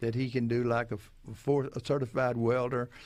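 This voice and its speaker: A man's monotone, flat intonation. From western Louisiana. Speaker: prison commissioner. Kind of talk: radio interview.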